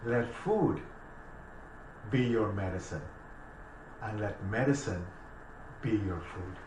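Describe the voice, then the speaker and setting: A man speaks at a very slow pace and a fairly low pitch. Noticeable background noise and audible room echo fill the recording. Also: ordinary pitch variation. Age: 60s. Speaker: naturopathic doctor. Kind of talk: casual chat.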